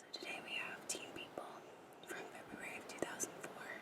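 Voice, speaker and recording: A whisper is heard with noticeable background noise around it. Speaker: ASMR creator. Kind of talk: ASMR whispered magazine flip-through. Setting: ocean waves noise in background. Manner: whispered.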